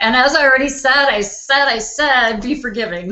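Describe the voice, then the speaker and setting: A woman with a Wisconsin accent, at a moderate pace. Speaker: life coach hosting online launch party. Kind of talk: motivational talk to live online audience. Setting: live video call broadcast.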